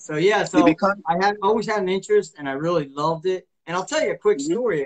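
The voice belongs to a man. Nothing much sounds behind him. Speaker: martial arts instructor and author; martial arts instructor. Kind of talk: casual interview. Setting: live video stream. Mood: friendly, relaxed. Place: home room. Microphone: video call.

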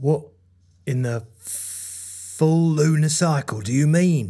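Put-on character voice at a low-to-middle pitch and a very slow pace. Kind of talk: comedy sketch dialogue.

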